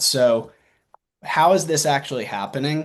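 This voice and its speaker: Against a quiet background, a man with a Southern US accent talks at a moderate pace. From US South. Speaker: marketing executive presenting at a webinar. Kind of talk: webinar presentation. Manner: casual, with frequent fillers.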